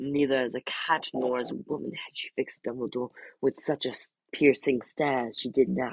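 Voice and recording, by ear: This is reading aloud in a natural voice, with fairly even intonation. The background is quiet.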